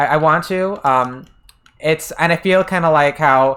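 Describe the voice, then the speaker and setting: Someone speaks with an American accent on a very clean recording with a silent background. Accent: American accent when speaking Japanese. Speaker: game streamer. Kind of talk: casual livestream chat. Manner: hesitant, many fillers and restarts.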